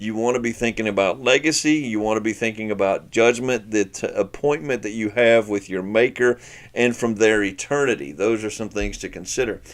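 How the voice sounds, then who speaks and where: Over a silent background in a very clean recording, a man at a medium pitch talks at a fairly quick pace with hardly any pauses and ordinary pitch variation. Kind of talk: teaching talk. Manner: fast.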